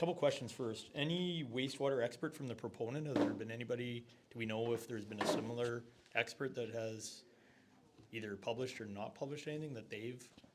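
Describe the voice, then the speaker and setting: Very fast speech from a man amid noticeable background noise. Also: medium pitch for a man, ordinary pitch variation. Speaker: audience member. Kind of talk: question at public meeting. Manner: loud.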